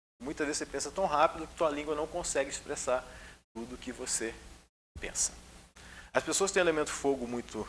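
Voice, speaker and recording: The man's fairly high voice shows ordinary pitch variation as he talks at a fairly quick pace. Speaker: spiritist lecturer. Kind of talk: lecture. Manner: controlled pace, usually fast.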